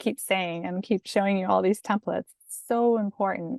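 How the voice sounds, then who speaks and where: Someone with an American accent talks at a fairly quick pace with ordinary pitch variation, the sound dry and close with no echo against a quiet background. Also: woman. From outside the US. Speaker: academic career coach. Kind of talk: tutorial. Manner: calm, conversational.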